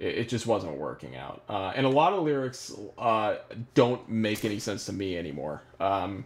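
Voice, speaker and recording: Speaking at a moderate pace, a man with a fairly low pitch shows very wide pitch swings and vocal fry. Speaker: musician and producer. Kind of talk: live stream Q&A. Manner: halting, many fillers.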